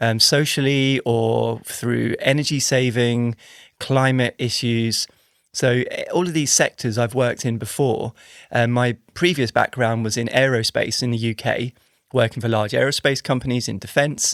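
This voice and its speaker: A man with an English accent, medium pitch, fairly even intonation and a moderate pace, in a very clean, dry, close recording with a silent background and no echo. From England. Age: 40s. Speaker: engineer and startup founder. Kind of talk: podcast interview. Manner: hesitant, with fillers and repetitions.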